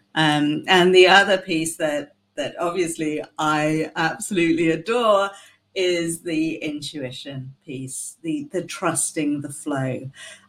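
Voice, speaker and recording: Speaking at a very slow pace in a British accent, a woman with a fairly low pitch shows ordinary pitch variation and big swings in loudness. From UK. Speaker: co-host.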